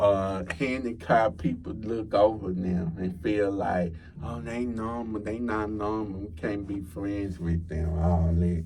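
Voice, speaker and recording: A man with a Texan accent speaks in a fairly low, somewhat breathy voice with a dark, mellow tone. He leaves hardly any pauses, and audible room echo is present. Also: ordinary pitch variation, fairly slow pace. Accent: Texas country. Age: 20s. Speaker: podcast guest, college student. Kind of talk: casual chat.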